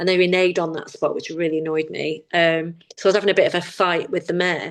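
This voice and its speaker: Her pitch sits in the medium range. This woman speaks at a very fast pace. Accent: Manchester. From northern England, Manchester. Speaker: campaign founder and fashion lecturer. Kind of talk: casual chat. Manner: animated.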